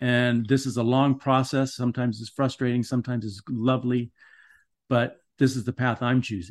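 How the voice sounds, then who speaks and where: Over a quiet background, a man with an American accent speaks at medium pitch and a fairly quick pace. His intonation is monotone and flat. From US West Coast, Los Angeles (Van Nuys). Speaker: writer and meditation practitioner. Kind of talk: interview conversation.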